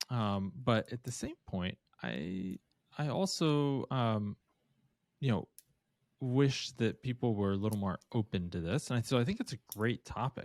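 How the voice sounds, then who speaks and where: Here is a man with a plain, everyday voice, a medium pitch and lively intonation, speaking at a fairly slow pace. The recording is very clean with a silent background and a dry, close sound with no echo. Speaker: podcast co-host, conversion optimization agency. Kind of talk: casual podcast conversation.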